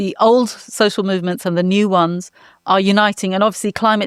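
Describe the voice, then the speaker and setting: A woman speaks at a medium pitch with a British accent and fairly even intonation. The recording is very clean, with a silent background and a dry, close sound with no echo. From England. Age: 60s. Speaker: climate lawyer and activist. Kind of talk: panel discussion. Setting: in person in Berlin.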